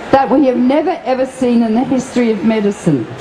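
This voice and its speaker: A woman speaks at a moderate pace in a high pitch with ordinary pitch variation. Noticeable background noise can be heard. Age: 70s. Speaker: anti-nuclear activist and physician. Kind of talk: speech at festival seminar. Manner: impassioned.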